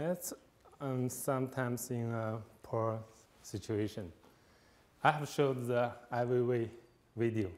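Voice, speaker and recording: A man with a Chinese accent at a medium pitch, fairly slow, with long, frequent pauses, ordinary pitch variation and audible room echo. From China. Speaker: visiting fellow speaker. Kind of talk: lecture. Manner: halting, many fillers.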